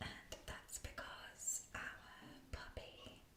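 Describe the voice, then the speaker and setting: A woman whispers at a very slow pace. Noticeable background noise sits behind her. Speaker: ASMR creator and musician (bassoonist). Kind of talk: whispered ASMR tour of musical instruments. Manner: whispered, soft-spoken.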